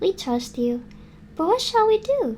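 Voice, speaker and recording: In a put-on, squeaky character voice, a woman speaks at a moderate pace with extremely high pitch and very wide pitch swings over clear background noise. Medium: read story.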